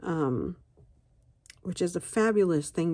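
A woman speaks at a fairly slow pace, her very deep, low pitch carrying a dark, mellow tone. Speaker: coloring and tea video host. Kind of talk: casual chat while coloring. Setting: home video recording. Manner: casual, chatty, with filler words.

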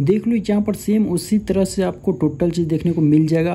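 This man has a high pitch and a dark, mellow tone, moving at a moderate pace with ordinary pitch variation. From India. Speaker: tech YouTuber. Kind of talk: casual chat on a video call; app tutorial. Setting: video call.

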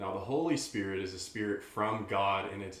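The speaker goes at a moderate pace with ordinary pitch variation. Room echo is audible. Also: man. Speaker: podcast host. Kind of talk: casual chat. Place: home room.

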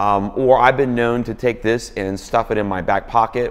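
With ordinary pitch variation, the speaking goes along at a moderate pace. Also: man. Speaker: worship leader blogger. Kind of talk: product review tutorial. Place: office. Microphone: lapel.

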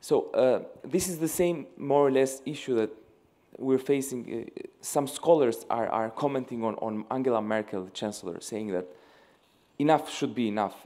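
A man speaks at a moderate pace with an Albanian accent. His tone is dark and mellow, and his pitch varies ordinarily. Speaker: young leader delegate asking a question; audience member. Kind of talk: audience question. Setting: stage with live audience. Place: hall.

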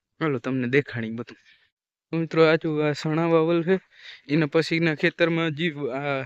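A man speaks with a fairly high-pitched voice. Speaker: vlogger. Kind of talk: casual vlog narration. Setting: outdoors on a farm.

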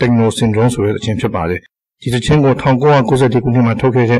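Somewhat breathy, a man talks at medium pitch with fairly even intonation. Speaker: video game hobbyist. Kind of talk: scripted narration. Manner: formal.

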